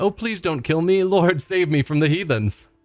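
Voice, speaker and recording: Faint music plays in the background as a man uses a put-on character voice at a high pitch. The sound is dry and close, with no echo. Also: moderate pace. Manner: whiny, pleading, pious.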